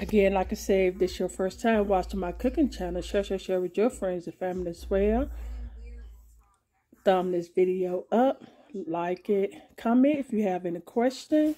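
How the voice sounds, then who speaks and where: A woman speaks in a dark, mellow tone at a moderate pace. Her pitch varies in an ordinary way. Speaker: home cooking channel host. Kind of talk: casual vlog chat. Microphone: phone near.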